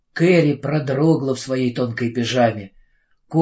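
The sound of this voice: Over a quiet background, an unforced reading voice moves through the text with ordinary pitch variation.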